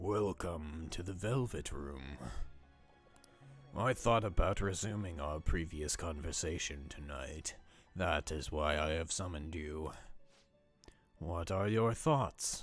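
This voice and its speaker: A man speaks in a put-on character voice with a very deep, low pitch. His pace is fairly slow, with long, frequent pauses over faint background music. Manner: formal, eerie.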